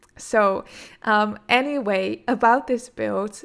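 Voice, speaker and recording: A woman's fairly high voice in a Dutch accent, ordinary pitch variation, on a very clean recording with a silent background. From Netherlands. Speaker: gaming YouTuber. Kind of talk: casual gameplay commentary. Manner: hesitant, many fillers.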